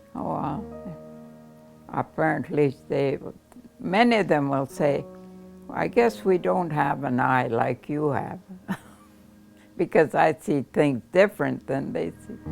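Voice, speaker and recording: Music plays in the background as a woman speaks very slowly in a very deep, low voice. Her pitch swings very widely, with long, frequent pauses. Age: 80s+. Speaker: photographer. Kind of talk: interview answer.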